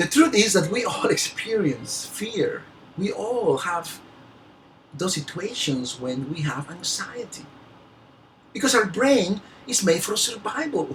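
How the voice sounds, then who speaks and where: Someone with a non-native accent speaks at a fairly slow pace, leaving long, frequent pauses, against noticeable background noise. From Peru. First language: Spanish. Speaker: motivational speaker. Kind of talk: motivational talk. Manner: halting, with word repetitions.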